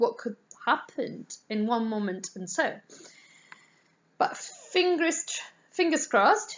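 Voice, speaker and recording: A woman speaks very slowly in an Italian accent. Her pitch is fairly high and swings very widely. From Italy. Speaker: art teacher. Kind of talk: casual vlog introduction. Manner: halting, many fillers.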